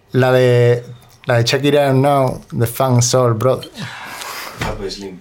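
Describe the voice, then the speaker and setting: Speaking at a very slow pace, a man leaves long, frequent pauses. His intonation is fairly even, and there is noticeable background noise. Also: medium pitch for a man. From Spain, Granada. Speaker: musician and producer. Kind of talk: casual chat.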